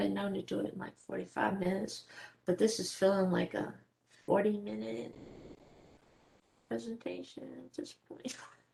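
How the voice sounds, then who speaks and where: A woman speaks at a moderate pace with big swings in loudness and long, frequent pauses. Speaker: database administrator presenter. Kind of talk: technical presentation.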